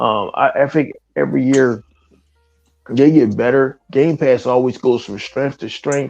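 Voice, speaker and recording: Music plays behind a man talking at a fairly slow pace. His pitch is medium and his intonation fairly even. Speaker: gaming podcast panelist. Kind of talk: casual chat. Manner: halting, many repeated words; low energy.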